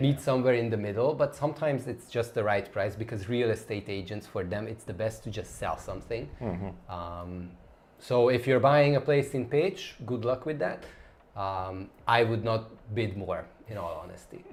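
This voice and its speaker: Somewhat breathy, the speech unfolds at a moderate tempo while the pitch varies in an ordinary way. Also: man, medium pitch for a man. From Hungary, Budapest. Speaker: travel YouTuber. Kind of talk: live stream chat and Q&A.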